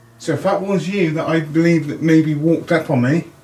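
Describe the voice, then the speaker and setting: A man speaks quietly, with ordinary pitch variation. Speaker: paranormal investigator. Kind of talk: ghost hunt narration. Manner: halting.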